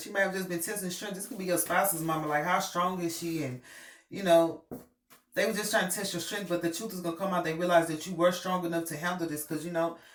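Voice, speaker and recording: A very fast pace over noticeable background noise. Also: woman. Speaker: tarot reader. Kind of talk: tarot reading. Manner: casual, hesitant with many fillers.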